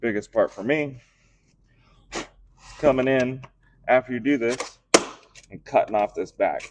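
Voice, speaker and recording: A man talks at a fairly slow pace, leaving long, frequent pauses. His loudness swings widely. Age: 30s. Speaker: metal casting livestreamer. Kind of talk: live tutorial stream. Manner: casual, thinking aloud with fillers.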